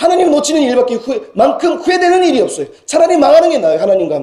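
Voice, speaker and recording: A man talks at a very fast pace. His extremely high-pitched voice moves in very wide pitch swings. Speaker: senior pastor. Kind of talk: sermon. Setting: church. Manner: halting with fillers and self-corrections.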